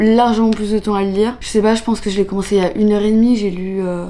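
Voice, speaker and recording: A woman speaks over noticeable background noise. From France, Annecy (Alps). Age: 20s. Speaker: vlogger. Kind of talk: casual vlog talk. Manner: casual, hesitant with fillers.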